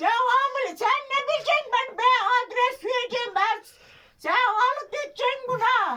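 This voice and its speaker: Using a put-on character voice, a woman speaks at an extremely high pitch and a moderate pace, keeping her loudness very even. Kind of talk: prank call comedy. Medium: solo performance. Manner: confused, repetitive, insistent.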